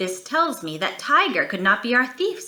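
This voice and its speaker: In a put-on character voice, a woman speaks at a moderate pace with a high pitch and very wide pitch swings. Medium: read story. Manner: confident, reasoning.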